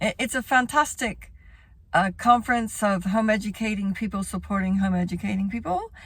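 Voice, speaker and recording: Speaking at a fairly quick pace with an American accent, a woman of medium pitch sounds somewhat breathy, her intonation fairly even. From Texas. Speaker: home educator and former teacher. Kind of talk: informational talk to camera. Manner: casual, with many fillers.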